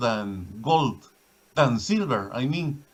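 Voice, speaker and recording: Very slowly, a man with a Spanish accent speaks with lively intonation. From Guatemala. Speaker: caller, viewer of the stream. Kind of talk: casual chat. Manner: halting.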